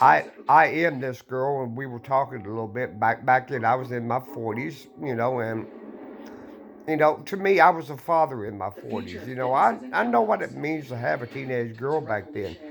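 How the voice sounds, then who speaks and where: A man speaks at a moderate pace and a medium pitch with lively intonation. Music plays in the background. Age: 60s. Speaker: vlogger. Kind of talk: casual monologue. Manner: halting.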